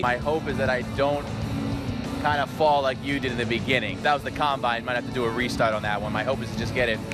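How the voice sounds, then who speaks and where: With music in the background, a man with an American accent talks at a very fast pace in an upbeat, energetic tone. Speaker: sports anchor and reporter. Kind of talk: sports news report and anchor read.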